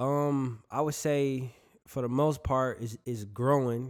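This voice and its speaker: A man speaks at a medium pitch with an American accent and monotone, flat intonation. The recording is very clean, with a silent background. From Milwaukee, Wisconsin. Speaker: rapper. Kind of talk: interview.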